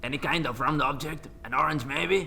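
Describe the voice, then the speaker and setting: A put-on character voice speaks at a moderate pace. Clear background noise runs underneath. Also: man. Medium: comedy sketch. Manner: halting, broken English, hesitant.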